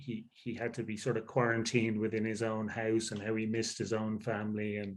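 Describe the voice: A nasal man's voice at a fairly low pitch and moderate pace, with little pitch movement and audible room echo.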